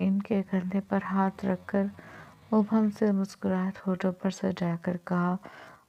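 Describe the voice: This is a plain reading aloud.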